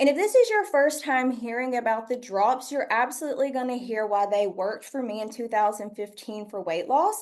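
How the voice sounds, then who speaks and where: A woman's high-pitched voice carries lively intonation and a slight Southern US accent. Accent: slight Southern US twang. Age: 30s. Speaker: product trainer. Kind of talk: product training presentation. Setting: stage with audience.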